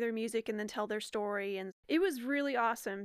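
A woman talks at a fairly quick pace in a plain, everyday voice. Her intonation is fairly even, and the sound is dry and close with no echo. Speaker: podcast co-host. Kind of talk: casual chat.

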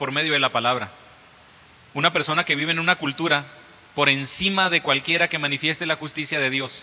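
Noticeable background noise surrounds a man whose fairly high voice breaks into long, frequent pauses. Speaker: preacher. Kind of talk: sermon, Bible reading then teaching; sermon, illustrative story about a boy learning karate. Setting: church. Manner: animated, repetitive, teaching with everyday illustrations.

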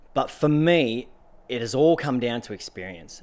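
A man talks in an Australian accent. His pitch sits at a medium level with ordinary variation. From Australian outback, central Queensland and Northern Territory. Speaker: adventurer and author. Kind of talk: interview. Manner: energetic.

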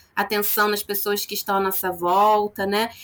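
At a moderate pace, a woman speaks with fairly high pitch in an ordinary speaking voice. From Nova Friburgo, Rio de Janeiro state, Brazil. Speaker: psychologist. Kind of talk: interview.

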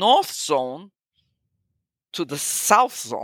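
Speaking in a Portuguese accent, a woman sounds animated at a fairly slow pace, with a dry, close sound with no echo on a very clean recording with a silent background. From Brazil. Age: 60s. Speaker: photographer. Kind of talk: interview conversation. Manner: animated, laughs often.

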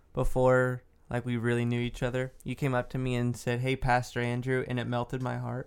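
Someone with a Texan accent speaks at a fairly quick pace with monotone, flat intonation. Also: man, medium pitch for a man. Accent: Texan American. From Dallas, Texas. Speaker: podcast co-host. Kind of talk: casual chat.

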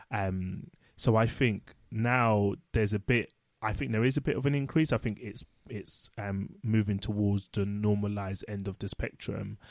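A man with an ordinary speaking voice talks at a fairly low pitch, a moderate pace and ordinary pitch variation. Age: 30s. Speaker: social worker and podcast co-host. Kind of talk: casual chat. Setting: home recording.

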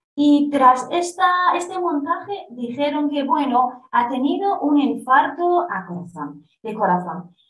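The speaker talks very slowly with very wide swings in pitch, and room echo can be heard. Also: woman, high pitch for a woman. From Iranian Kurdistan. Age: 30s. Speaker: Kurdish-Iranian activist. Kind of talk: interview. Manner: halting.

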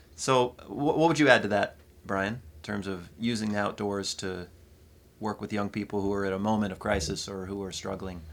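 In a plain, everyday voice, a man with an American accent speaks at a moderate pace and a fairly low pitch, on a very clean recording with a silent background. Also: ordinary pitch variation. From Pontiac, Michigan. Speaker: podcast host. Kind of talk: casual chat.

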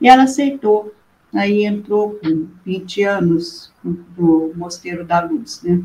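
A woman speaks very slowly, her voice somewhat breathy with a dark, mellow tone. Her pitch is medium and her intonation lively. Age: 70s. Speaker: nun. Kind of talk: testimony.

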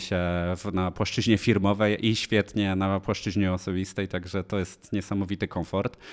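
Speech moves at a moderate pace. It is a very clean recording with a silent background. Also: man. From Lower Silesia, Poland (Polanica-Zdrój). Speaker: startup founder. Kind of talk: interview.

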